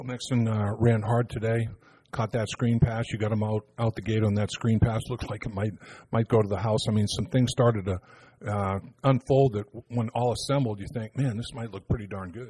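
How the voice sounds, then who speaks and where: Over a quiet background, a man speaks fairly quickly at a medium pitch, his somewhat breathy voice dark and mellow in tone, with fairly even intonation. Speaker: radio analyst, former player. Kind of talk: analysis discussion.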